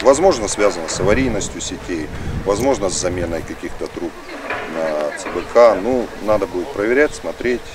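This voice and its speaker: Over noticeable background noise, a man talks at a moderate pace with a fairly low pitch and lively intonation, the sound dry with no echo. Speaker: water utility manager. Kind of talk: on-site interview. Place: open country.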